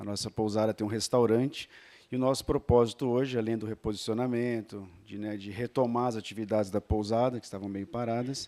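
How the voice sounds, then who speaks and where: In a very clean recording with a silent background and a dry, close sound with no echo, a man at medium pitch speaks at a fairly quick pace with a dark, mellow tone, fairly even intonation and big swings in loudness. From São Paulo state interior, near Minas border. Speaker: inn owner. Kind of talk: business pitch at networking meeting.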